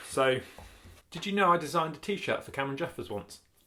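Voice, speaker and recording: In a very clean recording with a silent background, a man talks at a fairly quick pace with a British accent. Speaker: YouTuber vlogger. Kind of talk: casual vlog chat. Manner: fast.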